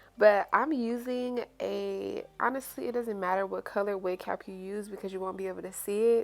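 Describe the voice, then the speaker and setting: A woman with a medium pitch talks at a moderate pace with fairly even intonation. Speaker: beauty YouTuber. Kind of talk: tutorial. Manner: casual.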